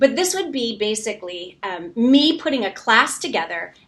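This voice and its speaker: There is noticeable noise behind the speech. Its pitch leaps up and down very widely. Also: woman. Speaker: brand coach and author. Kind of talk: livestream book launch. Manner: fast.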